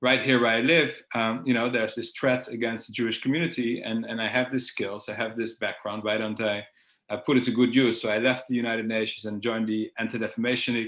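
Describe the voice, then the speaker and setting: A man with a Dutch accent talks at a very fast pace. His medium pitch holds fairly even intonation. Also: hardly any pauses. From Netherlands, Amsterdam. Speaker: security expert. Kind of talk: interview. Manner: hesitant, with fillers and repeats.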